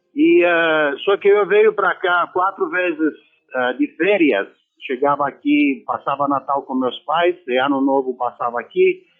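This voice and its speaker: A man with a Romanian accent speaks at a fairly slow pace. His pitch is high and his intonation lively. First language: Romanian (speaking Portuguese). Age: 60s. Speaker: former football player. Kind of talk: radio interview.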